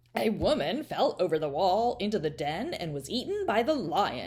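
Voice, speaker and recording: Using a put-on character voice, a woman with a medium pitch talks at a moderate pace with very wide pitch swings. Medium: read story.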